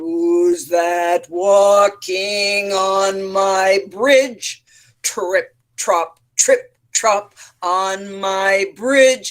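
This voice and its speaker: A put-on character voice speaks at a middle pitch. The pace is very slow. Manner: nasty, menacing.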